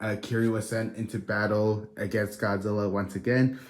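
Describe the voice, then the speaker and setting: A quiet man speaks at a moderate pace, his fairly low voice keeping a fairly even intonation. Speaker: toy reviewer. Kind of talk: video review. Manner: low, quiet; hesitant, many fillers.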